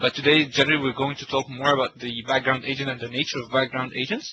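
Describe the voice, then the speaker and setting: A man talks fairly quickly in a flat monotone. Background noise is noticeable. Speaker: tech session presenter. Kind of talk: technical webinar presentation. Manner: fast; halting, many fillers and repetitions.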